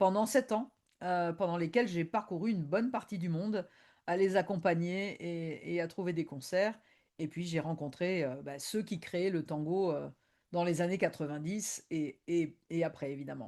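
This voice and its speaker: Dark and mellow in tone, the voice moves at a fairly slow pace with an Argentine accent and ordinary pitch variation over a quiet background. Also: woman, fairly low pitch for a woman. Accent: Argentine-tinged French. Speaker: tango historian and lecturer. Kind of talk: online presentation. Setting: video conference. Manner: hesitant, many fillers.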